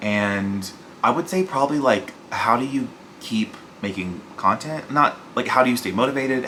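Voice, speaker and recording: Noticeable background noise runs under the voice. The speech has a moderate pace and ordinary pitch variation. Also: man. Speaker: book youtuber. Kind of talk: casual vlog talk.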